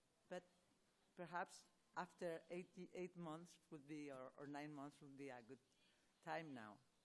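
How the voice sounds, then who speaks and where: A woman with a Spanish accent speaks at a fairly slow pace in a very deep, low pitch. Her pitch varies in an ordinary way, with long, frequent pauses. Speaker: rheumatology professor answering patient questions. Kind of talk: expert Q&A answering audience. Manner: halting, many false starts.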